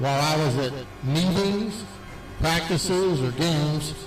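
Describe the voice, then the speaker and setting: Amid noticeable background noise and audible room echo, a man with a fairly high pitch and ordinary pitch variation speaks at a fairly slow pace. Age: 70s. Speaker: retired teacher and coach. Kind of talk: acceptance speech.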